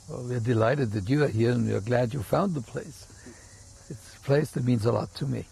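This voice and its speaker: Vocal fry runs through this man's medium-pitched voice. He speaks at a fairly quick pace. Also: ordinary pitch variation. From Germany, Munich. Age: 80s+. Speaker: rabbi. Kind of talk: interview.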